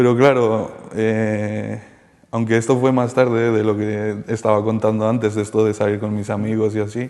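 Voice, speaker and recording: Dark and mellow in tone, a man's voice at a medium pitch moves at a fairly slow pace with monotone, flat intonation. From Colombia, moved to Spain at ten. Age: 30s. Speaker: former addict giving testimony. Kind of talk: testimony interview. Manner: halting, many fillers.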